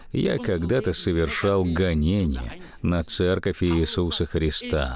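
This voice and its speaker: This man speaks with a very deep, low voice and ordinary pitch variation. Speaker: preacher. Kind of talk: sermon. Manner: earnest, warm pulpit delivery, building points with emphasis and direct appeals.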